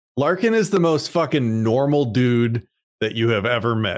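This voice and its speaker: A man with an unremarkable speaking voice, medium pitch and moderate pace, on a very clean recording with a silent background. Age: 40s. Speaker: IT entrepreneur. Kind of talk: casual interview chat.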